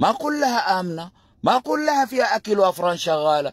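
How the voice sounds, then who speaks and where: A man talks at a moderate pace in a high voice with an animated tone. The sound is dry and close, with no echo. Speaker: political commentator. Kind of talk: livestream commentary. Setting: live stream.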